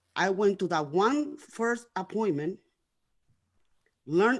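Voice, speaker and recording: A woman with a non-native accent speaks at a fairly slow pace in a medium pitch. Her intonation is lively. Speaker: guest sharing life story. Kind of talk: testimony. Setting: internet radio show. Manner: words sometimes run together; repetitive, halting.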